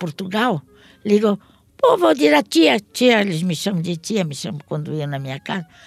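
A woman's voice rises and falls in very wide pitch swings. Behind her, music is playing. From Santos, Brazil. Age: 70s. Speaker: app ride-hailing driver. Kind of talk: interview.

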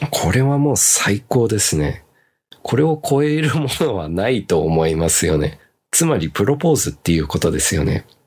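The loudness stays very even while the pitch makes very wide swings. The pace is moderate. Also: man, fairly low pitch for a man. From Japan, raised partly abroad (returnee). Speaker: cooking content creator and podcast host. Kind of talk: casual chat reading listener comments.

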